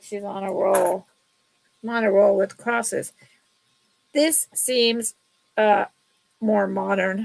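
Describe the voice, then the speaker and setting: A woman's fairly high voice with flat, monotone intonation. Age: 60s. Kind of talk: live sale stream. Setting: live stream. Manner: casual, chatty.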